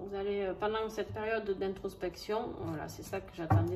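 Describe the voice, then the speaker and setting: With music in the background, a woman of medium pitch talks at a moderate pace in a southern French accent, keeping her intonation fairly even. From southern France. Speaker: tarot and oracle card reader. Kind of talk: astrology card reading. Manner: casual, hesitant with many fillers.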